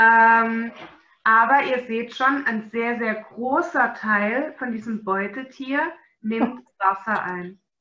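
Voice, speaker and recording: A woman talks very slowly in a fairly high, bright, sharp voice with a slight Swabian accent. Audible echo fills the room. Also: ordinary pitch variation. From Swabia, Germany. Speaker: animal nutrition webinar presenter. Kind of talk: webinar lecture.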